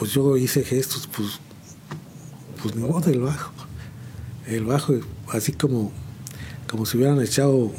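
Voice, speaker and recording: Speaking at a fairly slow pace with long, frequent pauses, a man keeps a medium pitch and fairly even intonation over noticeable background noise. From central Mexico, San Juan del Río (Querétaro); born in Chihuahua. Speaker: veteran musician. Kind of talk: interview. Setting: studio. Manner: halting.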